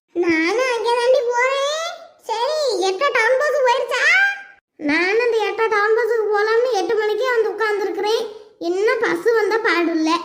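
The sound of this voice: Using a cartoonish character voice, a woman speaks at an extremely high pitch and a fairly slow pace with ordinary pitch variation and audible echo.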